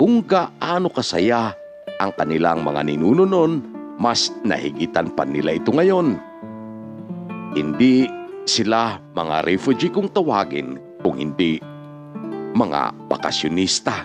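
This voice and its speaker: A man with a fairly low pitch speaks at a very slow pace, leaving long, frequent pauses. His pitch swings very widely over music in the background. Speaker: video narrator and storyteller reading viewer-submitted life stories. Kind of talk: news-style storytelling voice-over.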